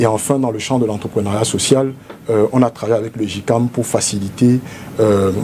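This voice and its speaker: At a moderate pace, a man speaks with a medium pitch and fairly even intonation, with noticeable background noise behind him. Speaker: politician, presidential candidate. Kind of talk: TV interview. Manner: formal.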